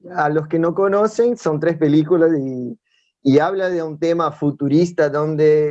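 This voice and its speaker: A man with a Brazilian accent, a fairly high pitch, ordinary pitch variation and a fairly slow pace. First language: Portuguese (speaking Spanish). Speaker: youth preacher. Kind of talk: sermon. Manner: halting.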